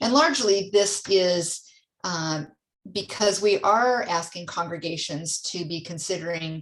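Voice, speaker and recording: A woman with an ordinary speaking voice talks at a fairly slow pace, her fairly low pitch showing ordinary pitch variation. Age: 60s. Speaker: church mission center leader. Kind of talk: church council meeting presentation; casual chat.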